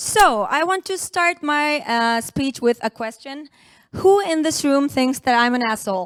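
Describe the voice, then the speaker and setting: The speaker talks at a fairly slow pace with lively intonation. The sound is dry and close with no echo, on a very clean recording with a silent background. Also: woman. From Turkey. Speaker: conference speaker, former oral surgeon. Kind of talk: conference talk. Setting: stage with audience at a conference.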